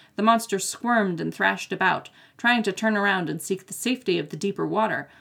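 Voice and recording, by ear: Intonation here is lively. Someone reads aloud in a natural voice.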